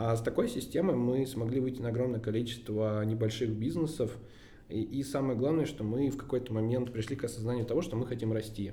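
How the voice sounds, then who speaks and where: With audible room echo, a man at medium pitch speaks at a fairly quick pace with fairly even intonation. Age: 20s. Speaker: agency CEO. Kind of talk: interview.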